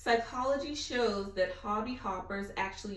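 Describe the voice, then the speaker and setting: A woman speaks in an animated tone at a fairly slow pace, with noticeable background noise and audible room echo. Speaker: guest speaker. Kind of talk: Q&A session.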